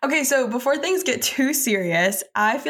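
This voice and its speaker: A woman with an American accent speaks at a moderate pace in an ordinary speaking voice, her intonation lively. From Texas. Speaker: podcast co-host, student. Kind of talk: interview.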